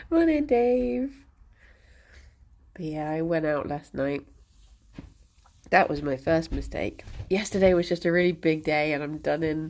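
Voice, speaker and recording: A woman talks at a fairly slow pace in a very deep, low pitch. Her intonation is lively. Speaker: streamer feeding pet rabbits. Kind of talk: casual live-stream chat. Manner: animated, baby-talk to pets.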